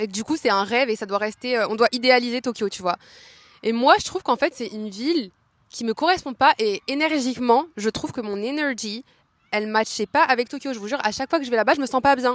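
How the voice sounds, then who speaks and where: A woman's high-pitched voice at a very fast pace, in a dry, close sound with no echo. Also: ordinary pitch variation. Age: 20s. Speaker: podcaster. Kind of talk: casual chat. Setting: outdoors in a park. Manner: casual, filler-heavy.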